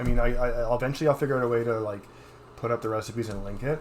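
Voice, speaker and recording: Speaking at a very fast pace, a man talks at medium pitch. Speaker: cooking livestream host. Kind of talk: cooking tutorial livestream. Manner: casual, many filler words.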